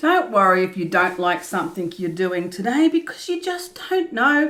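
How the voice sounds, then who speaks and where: A woman speaks loudly, her pitch swinging very widely. Noticeable background noise runs underneath. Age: 50s. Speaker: art youtuber. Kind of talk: tutorial. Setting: art studio. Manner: laughs a lot.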